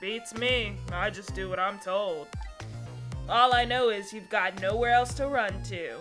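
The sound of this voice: Set against clear music in the background, a gruff, put-on character voice with fairly high pitch moves at a fairly slow pace.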